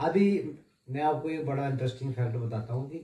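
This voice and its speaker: With a dark, mellow tone, a man speaks somewhat breathily with ordinary pitch variation. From Jammu region, India. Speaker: wrestler and police sportsman. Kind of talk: interview. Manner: halting.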